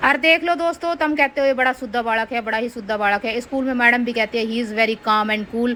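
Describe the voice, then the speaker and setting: In a Haryanvi accent, a woman with a high pitch and a bright, sharp tone speaks at a moderate pace with hardly any pauses and ordinary pitch variation. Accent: rural North Indian (Haryanvi-style) dialect. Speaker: mom vlogger. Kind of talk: vlog voice-over. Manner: humorous, chatty.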